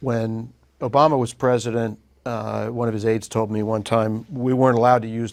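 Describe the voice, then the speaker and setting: A man with a normal speaking voice talks at a medium pitch and a fairly quick pace, his intonation fairly even. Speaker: news interviewer. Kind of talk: interview questions.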